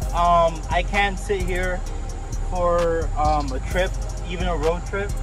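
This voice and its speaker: A man is heard in a dry sound with no echo. Clear music plays in the background. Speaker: car reviewer. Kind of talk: casual review walkthrough. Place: street.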